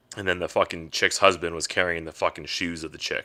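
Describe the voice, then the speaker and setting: A man's very deep, low voice at a moderate pace, animated in tone, on a very clean recording with a silent background. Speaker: podcast host, military veteran. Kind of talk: casual rant. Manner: halting.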